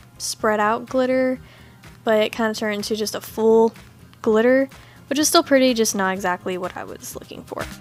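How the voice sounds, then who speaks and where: With music in the background, a woman speaks at a fairly high pitch with fairly even intonation. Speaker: nail art tutorial creator. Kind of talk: tutorial voiceover. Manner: fast.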